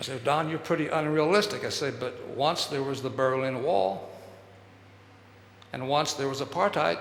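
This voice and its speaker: A man with an American accent and a fairly high pitch talks at a moderate pace with lively intonation and long, frequent pauses. Audible room echo and noticeable background noise fill the recording. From Texas. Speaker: speaker on human development. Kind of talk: public talk.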